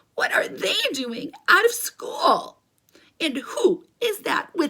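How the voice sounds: Using a put-on character voice, a woman speaks very slowly in an extremely high, raspy voice with very wide pitch swings.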